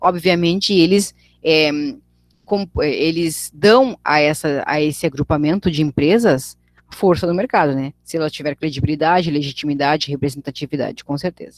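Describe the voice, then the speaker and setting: A woman's lively intonation, with dry, close sound and no echo. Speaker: teacher. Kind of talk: online lecture. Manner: fast.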